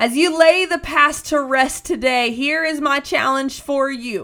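Raising and projecting her high-pitched voice, a woman speaks at a very slow pace with a bright, sharp tone and fairly even intonation. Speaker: preacher and podcast host. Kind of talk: fervent prayer and sermon exhortation, urging listeners to surrender their pain to God. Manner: impassioned, pleading, earnest; emphatic, rhythmic repetition building intensity.

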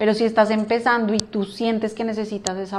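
Fairly quick, fairly high-pitched speech from a woman. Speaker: finance professional. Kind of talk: casual interview.

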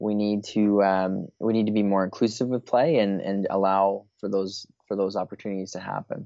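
Speaking with a Canadian accent and a plain, everyday voice, a man keeps a moderate pace, fairly low pitch and fairly even intonation with hardly any pauses. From Eastern Canada. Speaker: play advocacy coordinator. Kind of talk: interview.

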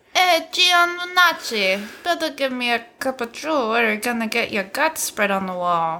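A female-sounding put-on character voice, high-pitched with very wide pitch swings. It moves at a moderate pace with hardly any pauses. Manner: menacing, mock-threatening.

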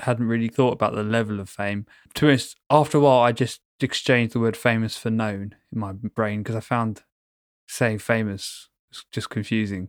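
A man with a London accent talks at a moderate pace in a medium-pitched voice with fairly even intonation. The sound is dry and close with no echo, on a very clean recording with a silent background. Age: 30s. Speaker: podcast co-host, engineer. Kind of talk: casual chat. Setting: call.

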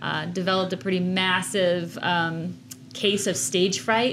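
At a fairly slow pace, a woman talks at a medium pitch in an ordinary speaking voice. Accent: American. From Chicago, US Midwest. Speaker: art director and co-host. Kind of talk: casual chat. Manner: playful, laughing.

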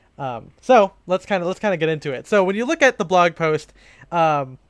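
In a normal speaking voice, a man talks at a moderate pace with lively intonation, the sound dry and close with no echo over a quiet background. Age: 20s. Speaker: podcast host, menswear blogger. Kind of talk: casual chat.

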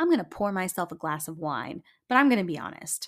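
This woman speaks fairly quickly with lively intonation and vocal fry at a fairly low pitch. The recording is very clean, with a silent background. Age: 20s. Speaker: podcast host. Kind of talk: solo podcast monologue.

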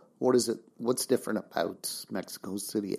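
A man talks at a moderate pace with ordinary pitch variation. His voice has vocal fry. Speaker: podcast host. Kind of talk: interview.

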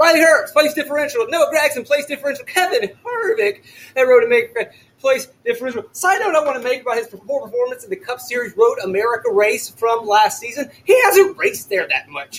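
A man shouts loudly at an extremely high pitch with an animated tone. He talks fairly quickly, his pitch swinging very widely. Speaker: NASCAR fantasy podcast host. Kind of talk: podcast commentary. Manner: loud, shouting.

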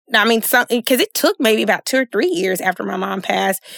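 A woman speaks with vocal fry. The sound is dry and close, with no echo. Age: 30s. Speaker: licensed social worker and podcaster. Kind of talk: casual chat.

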